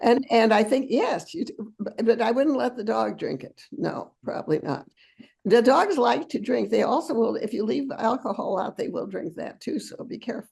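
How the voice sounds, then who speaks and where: A woman's fairly high voice with vocal fry, lively intonation, big swings in loudness and a moderate pace. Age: 90s. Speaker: talk show host. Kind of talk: casual chat. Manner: halting.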